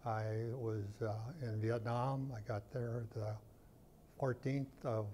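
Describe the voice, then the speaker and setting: A man speaks very slowly in a monotone, flat intonation, somewhat breathy with a dark, mellow tone. Light background noise sits underneath. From North Dakota. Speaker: war veteran. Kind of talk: interview answer. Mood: reflective, sober war memories. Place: studio.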